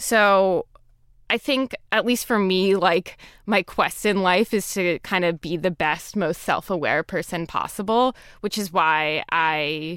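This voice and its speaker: Delivered in an unremarkable speaking voice, the speech moves at a fairly slow pace with ordinary pitch variation and a dry, close sound with no echo. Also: woman, very clean recording, silent background. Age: 20s. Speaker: writer. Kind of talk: interview. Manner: casual, filler-heavy.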